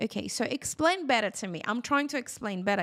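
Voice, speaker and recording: A woman with a Brazilian accent at a fairly quick pace, very clean recording with a silent background. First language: Portuguese. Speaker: hair care educator and product seller. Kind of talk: live-stream tutorial with Q&A. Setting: live stream.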